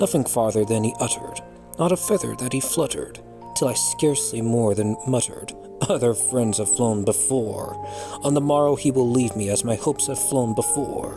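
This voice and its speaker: Music sits in the background. Over it, a man talks at a moderate pace. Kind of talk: poetry reading.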